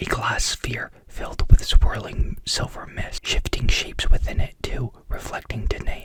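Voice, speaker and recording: A woman whispering at a moderate pace against noticeable background noise. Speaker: ASMR creator. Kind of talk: whispered ASMR story reading, sleep story.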